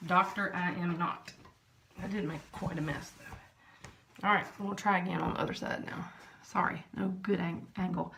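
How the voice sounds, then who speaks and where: A woman with a Southern US accent speaks at a moderate pace and medium pitch with fairly even intonation, over noticeable background noise and audible room echo. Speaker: vlogger. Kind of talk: product test vlog. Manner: casual, chatty.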